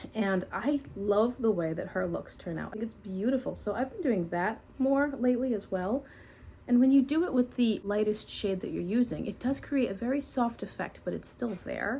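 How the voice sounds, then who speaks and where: A woman speaks at a moderate pace in a somewhat breathy, fairly high voice with a dark, mellow tone and ordinary pitch variation. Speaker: beauty YouTuber. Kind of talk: casual makeup tutorial talk to camera.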